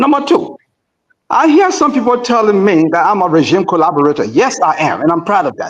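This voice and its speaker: His pitch is high for a man, and he speaks at a fairly quick pace with very wide pitch swings. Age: 70s. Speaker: political commentator. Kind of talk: radio panel discussion. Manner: animated.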